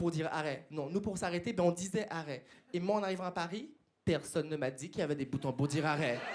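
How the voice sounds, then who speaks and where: A man with a Martinique accent speaks very fast at a high pitch, animated in tone and lively in intonation. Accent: Antillean (Martinique) French. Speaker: stand-up comedian. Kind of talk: stand-up. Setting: stage with audience.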